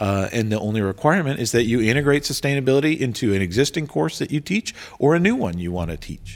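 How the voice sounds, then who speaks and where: Over a silent background in a very clean recording, a man talks at a very fast pace with hardly any pauses, his medium-pitched voice making very wide pitch swings in an animated, enthusiastic tone. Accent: American. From Washington DC area, US. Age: 40s. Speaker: sustainability coordinator at a university. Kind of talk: casual interview conversation.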